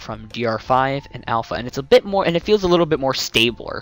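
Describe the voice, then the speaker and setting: Music plays in the background. The sound is dry with no echo. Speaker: software reviewer. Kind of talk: commentary.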